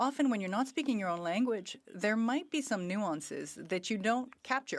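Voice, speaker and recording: The speaker has a Quebec accent. The pace is fairly quick. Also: woman, very clean recording, silent background. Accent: Québécois French accent in English. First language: French. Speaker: member of parliament. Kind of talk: parliamentary tribute speech. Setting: parliament chamber.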